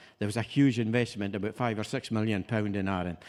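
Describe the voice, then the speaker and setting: This is a man's voice. He speaks with a Hebridean accent. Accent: Islay Scottish. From Scotland, Isle of Islay. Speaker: master distiller. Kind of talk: tasting presentation.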